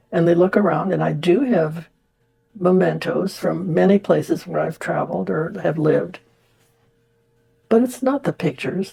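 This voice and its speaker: Music plays in the background as a woman with a fairly low pitch talks at a moderate pace with lively intonation. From India. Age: 90s. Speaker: spiritual practitioner sharing life story. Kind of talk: personal testimony interview. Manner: halting, reflective.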